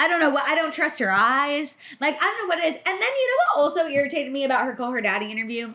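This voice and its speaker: A woman's raised, projected voice, high in pitch with lively intonation and a very fast pace, over noticeable background noise. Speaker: pop culture podcast co-host. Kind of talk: casual chat. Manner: loud; animated.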